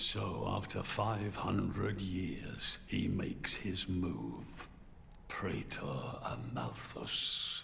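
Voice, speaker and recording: In a put-on character voice, someone whispers at a very slow pace over clear background noise. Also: man. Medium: video game. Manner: deferential.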